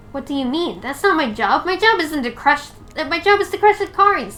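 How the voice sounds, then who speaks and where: A woman uses a put-on character voice at an extremely high pitch, swinging very widely in pitch at a fairly quick pace over light background noise. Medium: game stream.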